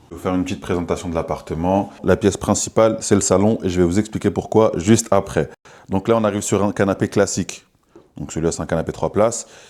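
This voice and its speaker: At a very fast pace, a man talks in a fairly low, dark, mellow voice with fairly even intonation. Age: 20s. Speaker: short-term rental manager. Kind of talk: vlog tour and business pitch. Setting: walking indoors, apartment residence. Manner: casual.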